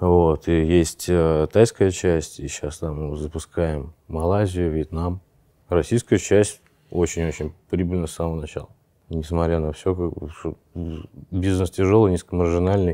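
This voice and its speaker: A man speaks at a very deep, low pitch with fairly even intonation, fairly slowly. Long, frequent pauses break his speech on a very clean recording with a silent background. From Saint Petersburg, Russia. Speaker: tech company founder. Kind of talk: casual interview. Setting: walking through an office.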